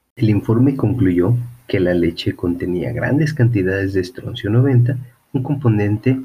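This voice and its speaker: This man has a Mexican accent and a dark, mellow, somewhat breathy tone. He talks at a fairly slow pace with ordinary pitch variation. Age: 30s. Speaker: podcast host. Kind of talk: casual chat; reading aloud.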